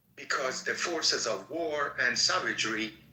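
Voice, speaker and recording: A man at a fairly slow pace over noticeable background noise. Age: 60s. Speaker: political activist. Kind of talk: online group discussion.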